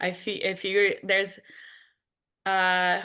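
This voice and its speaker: A woman's medium-pitched voice with a Portuguese accent and a bright, sharp tone, over a quiet background. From Brazil. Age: 30s. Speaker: sound engineer. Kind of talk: panel discussion.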